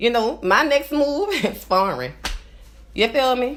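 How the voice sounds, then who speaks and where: This woman talks with a New Orleans accent and vocal fry. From New Orleans, Louisiana. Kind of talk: casual live stream talk to camera. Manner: rambling, conversational.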